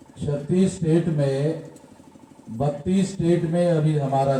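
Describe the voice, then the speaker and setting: A man's fairly high voice with audible room echo and noticeable background noise. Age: 60s. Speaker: national president of a political-social organisation. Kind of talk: political rally speech.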